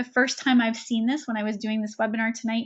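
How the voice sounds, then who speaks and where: A woman speaks in a fairly high pitch with fairly even intonation. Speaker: webinar presenter and coach. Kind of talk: webinar presentation. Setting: online webinar. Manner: fast.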